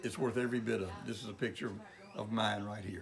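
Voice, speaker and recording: With a Mississippi Delta accent, a man talks at a very fast pace. Music plays in the background. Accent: Mississippi Delta Southern US. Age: 70s. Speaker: clothing store owner. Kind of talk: interview. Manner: halting, with fillers.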